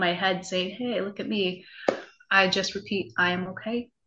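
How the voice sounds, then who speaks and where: A woman's voice at a medium pitch. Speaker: nurse turned health coach. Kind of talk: interview. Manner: animated.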